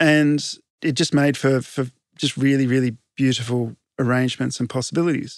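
Over a quiet background, a man with an Australian accent talks at a very even loudness. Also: medium pitch for a man, moderate pace, dry, close sound with no echo. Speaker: landscape architect. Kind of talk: interview. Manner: animated.

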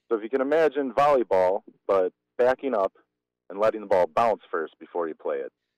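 In a plain, everyday voice with an American accent, a man of medium pitch talks at a fairly quick pace with lively intonation, in a dry, close sound with no echo. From Wisconsin, Germantown. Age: 30s. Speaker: fistball player. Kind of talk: casual interview.

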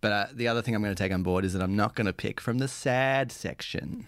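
A fairly low-pitched man with an Australian accent on a very clean recording with a silent background. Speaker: improv comedy host. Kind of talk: casual interview chat. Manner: informal, hesitant with fillers.

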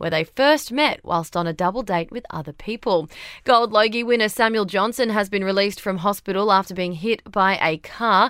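In an Australian accent, a woman speaks at a moderate pace with a medium pitch and ordinary pitch variation. Her tone is bright and sharp, and the recording is very clean with a silent background. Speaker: news presenter. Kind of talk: formal newsreading. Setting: studio. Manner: brisk, crisp bulletin delivery; even, neutral newsreader tone.

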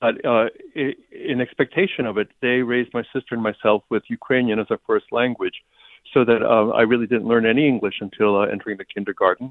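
Moving at a fairly quick pace, a man with an American accent uses an ordinary speaking voice and fairly even intonation. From US, New Jersey. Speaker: writer and English professor. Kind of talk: interview; reading aloud.

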